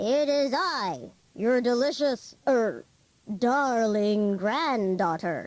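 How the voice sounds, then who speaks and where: A woman's put-on character voice at a very slow pace, broken by long, frequent pauses. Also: fairly high pitch for a woman. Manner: sly, falsely sweet.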